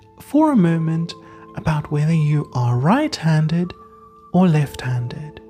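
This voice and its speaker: A woman's calm, fairly low voice at a very slow pace, with music in the background. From South Africa. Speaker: counsellor, podcast host. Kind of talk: guided breathing relaxation. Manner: calm, slow.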